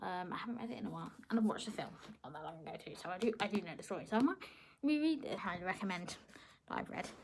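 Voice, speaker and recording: A woman speaks very fast with a British accent, lively intonation and a medium pitch. Her loudness swings widely. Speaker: book vlogger. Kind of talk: casual chat.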